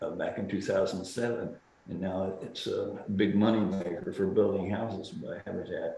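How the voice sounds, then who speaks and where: A man at a moderate pace, amid noticeable background noise and audible room echo. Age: 80s+. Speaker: speaker at a symposium. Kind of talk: Q&A discussion. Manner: halting with false starts.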